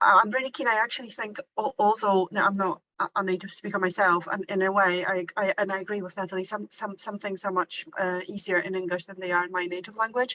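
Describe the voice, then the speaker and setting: With a Polish accent, a woman talks very fast at medium pitch, her intonation fairly even. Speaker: university teacher. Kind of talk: workshop discussion. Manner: halting, many repetitions.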